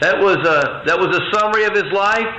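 Noticeable background noise behind a man going at a moderate pace. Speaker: preacher. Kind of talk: sermon. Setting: stage with audience.

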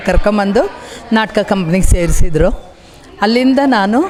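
The recording carries noticeable background noise and audible room echo. Within it, a woman speaks at medium pitch. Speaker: stage actress. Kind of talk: interview.

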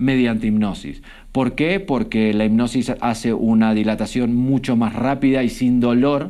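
The man's tone is dark and mellow. Little sound comes from the quiet background. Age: 40s. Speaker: stage hypnotist; guest. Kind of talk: hypnotic induction; interview chat. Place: studio. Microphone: studio mic.

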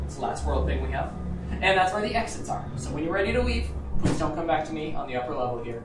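Over music in the background and audible room echo, a woman speaks at a very fast pace. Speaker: elevator operator guide. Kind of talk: tour guide commentary. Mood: friendly, upbeat.

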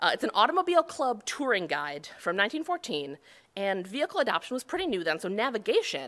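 A woman with an American accent talks at a fairly quick pace in a bright, sharp tone. Her pitch swings very widely over a quiet background. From Buffalo, New York; New York. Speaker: cartographer; conference presenter. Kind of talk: conference talk. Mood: light, humorous. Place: hall.

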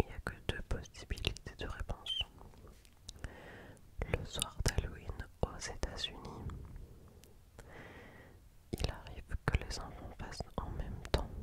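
Whispering and soft-spoken, a woman speaks at a very slow pace with long, frequent pauses, recorded dry with no echo but with noticeable background noise. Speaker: ASMR creator. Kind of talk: soft-spoken ASMR quiz reading. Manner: close, soft ASMR whisper. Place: home room. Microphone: studio mic.

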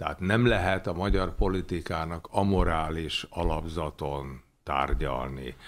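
Very deep, low male voice with vocal fry and ordinary pitch variation on a very clean recording with a silent background. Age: 70s. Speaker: economist, former official. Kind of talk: interview. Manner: hesitant, many filler sounds.

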